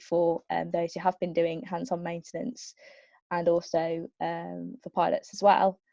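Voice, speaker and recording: A woman with a Birmingham accent, a dark, mellow tone and a moderate pace, in a dry, close sound with no echo. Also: quiet background. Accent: Birmingham (Brummie). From Birmingham, England. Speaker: aerospace engineering graduate, panelist. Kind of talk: webinar career talk. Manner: hesitant, many fillers.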